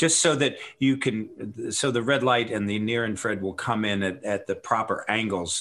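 Here is a man with a plain, everyday voice. He keeps a moderate pace and ordinary pitch variation. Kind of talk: interview with product pitch.

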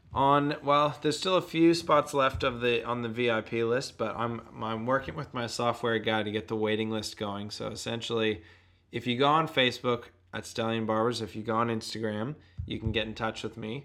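A man's medium-pitched voice with an American accent, fairly quick in pace, with ordinary pitch variation. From US, Boston suburbs. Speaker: barber, shop owner. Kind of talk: casual chat.

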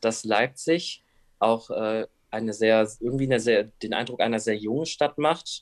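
A man with a plain, everyday voice talks at a fairly slow pace, medium in pitch, with fairly even intonation. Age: 20s. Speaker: YouTuber with Tourette syndrome. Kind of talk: interview.

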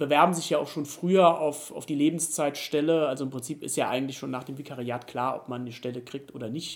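A man talks at a fairly quick pace. His pitch is fairly high and his intonation fairly even. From Germany, Rhineland-Palatinate (Idar-Oberstein). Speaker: pastor, candidate for church superintendent. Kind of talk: interview. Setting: in person at his place. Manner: hesitant with frequent fillers.

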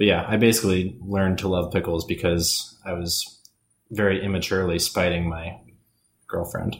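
A man talks in a very deep, low pitch that is somewhat breathy. His pace is moderate and his intonation fairly even. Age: 20s. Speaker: podcast co-host. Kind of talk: casual chat.

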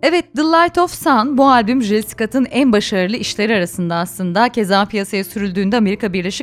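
The speech has lively intonation and a moderate pace. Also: woman. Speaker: radio host. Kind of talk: radio show presenting, scripted intro and biography. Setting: radio studio. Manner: warm, smooth, formal-friendly.

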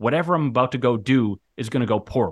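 An unremarkable speaking voice from a man, medium in pitch, moderate in pace and lively in intonation, over a quiet background. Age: 30s. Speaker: author and mental health coach. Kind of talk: interview.

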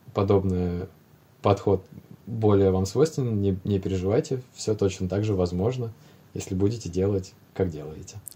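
A man speaks at a fairly slow pace with a fairly low pitch. His tone is dark and mellow, and his intonation stays fairly even. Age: 20s. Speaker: airline pilot. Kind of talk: casual chat.

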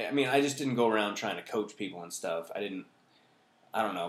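A man talks in a plain, everyday voice. His pitch is fairly low, with ordinary variation. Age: 40s. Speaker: comedian. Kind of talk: casual chat. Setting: at home.

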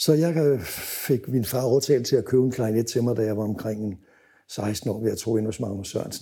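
A man speaks at medium pitch and a moderate pace, somewhat breathy, with a dark, mellow tone. His pitch varies in an ordinary way, and the recording is very clean with a silent background. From Denmark, Copenhagen. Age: 70s. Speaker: music photographer. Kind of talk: interview storytelling.

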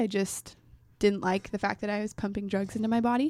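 With an American accent, a woman speaks in a normal speaking voice at a medium pitch, with fairly even intonation and a moderate pace. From Oregon, Portland area. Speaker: college student guest. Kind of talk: casual interview. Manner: laughs often, playful.

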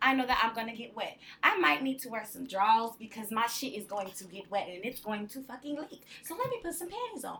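Over noticeable background noise, a woman talks fairly quickly at a fairly high pitch with lively intonation. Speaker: sex worker and burlesque performer. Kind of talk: casual chat. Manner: soft-spoken. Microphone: too far from the mic.

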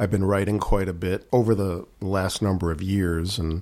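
A man speaks at a moderate pace with a Chicago accent. His very deep, low voice keeps a fairly even intonation. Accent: Chicago American. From Chicago, northwest side. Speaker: blues guitarist. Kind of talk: interview. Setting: radio studio.

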